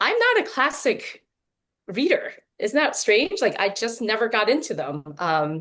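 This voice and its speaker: A woman's fairly high voice swings very widely in pitch. She speaks at a fairly slow pace with vocal fry. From Taiwan, moved to US as child. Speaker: novelist. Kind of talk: casual panel chat.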